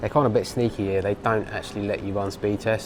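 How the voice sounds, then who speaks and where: Noticeable background noise sits behind this recording. A man with an English accent speaks at a fairly low pitch. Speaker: travel vlogger. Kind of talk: vlog narration. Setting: airport lounge. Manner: hesitant, many fillers.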